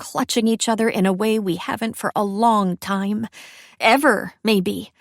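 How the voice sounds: The intonation stays fairly even as the passage is read in a natural reading voice.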